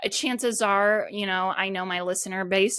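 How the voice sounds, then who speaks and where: In a very clean recording with a silent background, a woman talks at a medium pitch with ordinary pitch variation and a bright, sharp tone. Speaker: podcast host. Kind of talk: solo podcast talk. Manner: animated.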